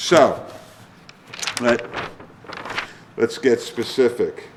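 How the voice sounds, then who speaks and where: Clear background noise behind a man's mid-range voice. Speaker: trial lawyer giving a seminar talk. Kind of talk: lecture to lawyers. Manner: animated, halting with repetitions.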